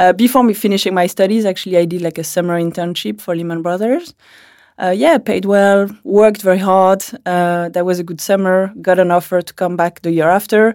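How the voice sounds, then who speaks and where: In a French accent, a woman talks at a fairly quick pace with fairly even intonation on a very clean recording with a silent background. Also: medium pitch for a woman. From France. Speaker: founder of a financial education platform, ex-finance analyst. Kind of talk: interview.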